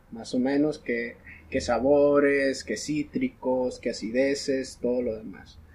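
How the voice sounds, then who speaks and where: Very slow speech from a man at a medium pitch, with fairly even intonation and noticeable background noise. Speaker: coffee entrepreneur. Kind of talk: casual chat.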